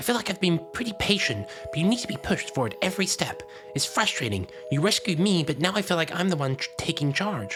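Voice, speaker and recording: Delivered at a very fast pace, a put-on character voice sits at a middle pitch over clear music in the background. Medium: solo performance. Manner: chummy, then sneering.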